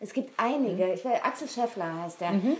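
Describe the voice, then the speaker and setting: Through noticeable background noise, a woman speaks with lively intonation. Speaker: voice actress and radio station voice. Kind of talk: casual chat.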